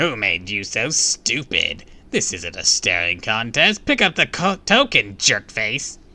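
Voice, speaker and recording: Putting on a character voice at a medium pitch, a man speaks fairly slowly. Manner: rude, taunting.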